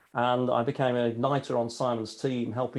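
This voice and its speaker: In a British accent, a man speaks at a moderate pace and medium pitch with monotone, flat intonation. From England. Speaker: leadership speaker, author, former air force pilot. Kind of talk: podcast interview.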